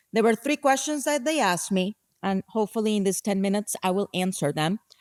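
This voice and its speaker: A woman with a Spanish accent speaks at a moderate pace on a very clean recording with a silent background and a dry, close sound with no echo. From Colombia, Bogota. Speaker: nonprofit executive director. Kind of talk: conference talk.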